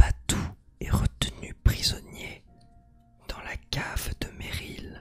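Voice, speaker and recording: Whispering at a very slow pace with long, frequent pauses, a man speaks over music in the background. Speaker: streamer. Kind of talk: ASMR live stream chat. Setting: live stream.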